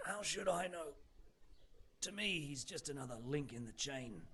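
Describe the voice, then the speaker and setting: A man's raspy, put-on character voice, fairly high in pitch, with lively intonation, a moderate pace and clear background noise. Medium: video game. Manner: blunt, weary, matter-of-fact.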